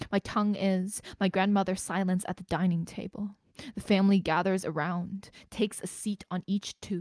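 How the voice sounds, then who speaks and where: This woman speaks at a moderate pace and a medium pitch. Her intonation is monotone and flat, and the sound is dry and close with no echo. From Greater Toronto Area, Canada. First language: Mandarin. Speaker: spoken word poet. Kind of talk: poetry performance; casual introduction. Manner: hesitant, filler-heavy between poems.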